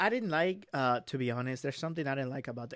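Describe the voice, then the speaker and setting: This man talks at a very fast pace with a Spanish accent. His pitch is fairly high. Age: 20s. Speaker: young entrepreneur. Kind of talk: casual interview.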